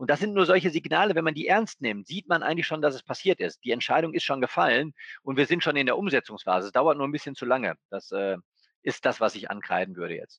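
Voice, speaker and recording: A man's very fast speech with very wide pitch swings and vocal fry, dry and close with no echo, against a quiet background. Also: fairly high pitch for a man. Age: 40s. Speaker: bank executive. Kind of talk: interview conversation.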